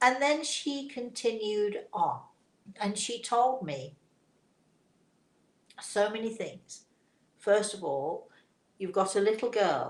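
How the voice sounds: A woman speaks at a slow pace with lively intonation. Her pauses are long and frequent, and the room echo is audible. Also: medium pitch for a woman.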